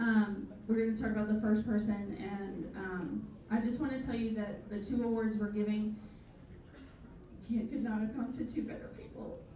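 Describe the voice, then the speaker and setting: Against noticeable background noise and audible room echo, a woman speaks at a moderate pace with a fairly high pitch and monotone, flat intonation. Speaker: event organizer. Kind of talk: ceremony speech.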